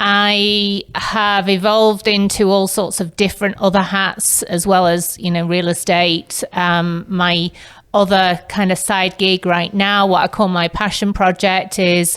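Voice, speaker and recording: The speech comes in an English accent at a fairly slow pace with hardly any pauses. The intonation is monotone and flat. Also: woman, medium pitch for a woman. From northern England, Manchester. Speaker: real estate agent. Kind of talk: podcast interview.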